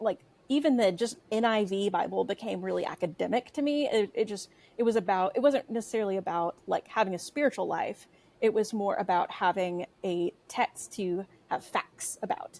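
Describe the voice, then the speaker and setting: A woman with a Texan accent speaks at a medium pitch with lively intonation. Her pace is moderate, and the sound is dry and close with no echo. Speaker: writer and editor, podcast guest. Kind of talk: casual chat. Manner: hesitant, many fillers.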